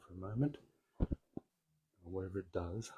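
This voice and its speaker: Soft-spoken and somewhat breathy, a man talks with a very deep, low pitch, a dark, mellow tone and ordinary pitch variation. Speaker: spiritual group speaker. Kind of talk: spiritual talk. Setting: in-person group streamed online. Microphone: handheld mic, inaudible when held far.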